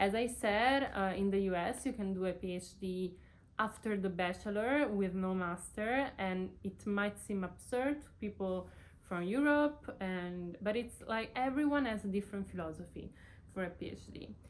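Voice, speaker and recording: A woman with an Italian accent speaks at a medium pitch with ordinary pitch variation. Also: moderate pace. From Italy. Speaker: PhD student, vlogger. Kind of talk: casual vlog talk to camera. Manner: halting, many fillers.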